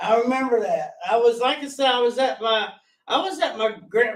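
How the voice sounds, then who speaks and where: A man with a strong Southern US accent talks at a fairly slow pace, with ordinary pitch variation. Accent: strong rural Southern, mountain country. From US South, Gaston County, North Carolina. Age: 40s. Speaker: guest sharing recovery story. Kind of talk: testimony. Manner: loud.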